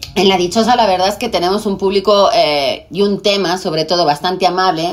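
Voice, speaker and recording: The speaker talks at a moderate pace with a Spanish accent. Noticeable background noise is present. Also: woman. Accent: Spanish accent with ceceo. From Spain. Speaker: TV presenter. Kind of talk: casual chat.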